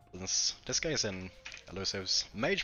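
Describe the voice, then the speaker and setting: With a Swedish accent, a man speaks in a fairly low voice with lively intonation. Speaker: game streamer. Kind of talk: live gameplay commentary. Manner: casual, thinking aloud with fillers.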